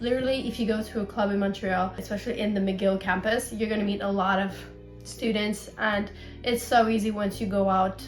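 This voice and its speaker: Speech comes at a fairly quick pace with monotone, flat intonation. Music plays in the background. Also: woman, medium pitch for a woman. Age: 20s. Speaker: university student. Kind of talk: Q&A vlog.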